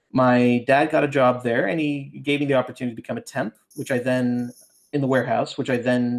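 A normal speaking voice from a man with a Canadian accent, medium pitch, fairly even intonation and a fairly quick pace. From Ontario, Canada (outside Toronto). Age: 40s. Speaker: ghostwriter and fiction author. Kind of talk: casual interview.

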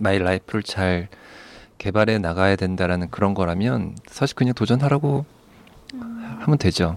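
A man's normal speaking voice with a fairly low pitch, fairly quick pace and ordinary pitch variation. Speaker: psychiatrist. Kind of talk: advice podcast chat.

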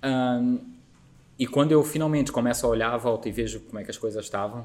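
A man speaks with ordinary pitch variation. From Azores, Terceira island. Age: 40s. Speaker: company founder. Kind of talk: casual interview. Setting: studio. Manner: repeats words, halting.

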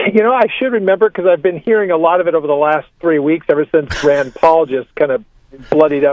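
A man with a fairly high pitch talks at a fairly quick pace with lively intonation in a normal speaking voice. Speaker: pastor. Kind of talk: radio interview. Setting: phone call.

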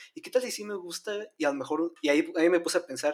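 A man talks at a very fast pace in a high pitch. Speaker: podcast co-host. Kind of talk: casual chat.

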